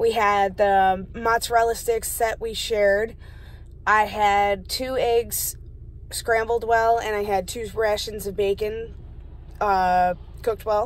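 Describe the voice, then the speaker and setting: Very slow, monotone delivery with flat intonation and a dry sound with no echo. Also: woman. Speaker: vlogger. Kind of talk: casual vlog chat. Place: car.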